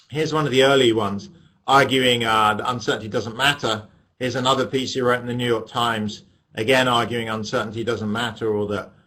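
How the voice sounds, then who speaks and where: A man with an English accent, medium pitch and a bright, sharp tone, very fast pace and fairly even intonation. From England. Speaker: economics professor. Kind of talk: lecture. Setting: webinar via webcam.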